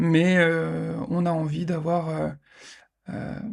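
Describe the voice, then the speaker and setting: This man's voice sits at a fairly high pitch. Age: 40s. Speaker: podcast host. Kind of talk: casual monologue podcast. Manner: hesitant, many fillers.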